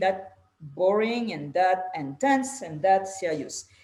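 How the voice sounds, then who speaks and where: At a fairly slow pace, a woman with a strong French accent speaks at a medium pitch. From France. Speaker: podcast host. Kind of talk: casual interview chat.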